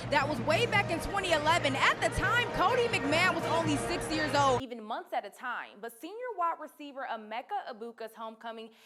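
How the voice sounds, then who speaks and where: Over music in the background, a woman with an American accent projects a raised voice at a fairly quick pace, with very wide pitch swings and big swings in loudness. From Cleveland, Ohio. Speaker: sports reporter. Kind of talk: sports stand-ups and anchoring.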